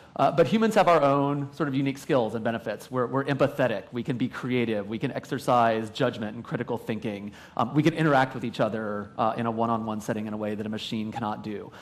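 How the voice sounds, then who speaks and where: Barely pausing, a man rattles along at a very fast pace, his medium pitch showing ordinary variation. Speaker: survey researcher, conference panelist. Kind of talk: panel presentation. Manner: loud.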